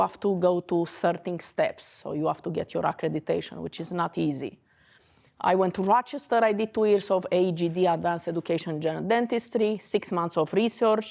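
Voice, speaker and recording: On a very clean recording with a silent background, a woman of medium pitch speaks at a fairly quick pace with ordinary pitch variation. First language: Romanian. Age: 40s. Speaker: dentist. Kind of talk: lecture.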